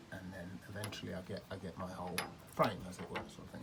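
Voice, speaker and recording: A man's voice against noticeable background noise. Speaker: amateur DIY renovator. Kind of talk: tutorial. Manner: halting.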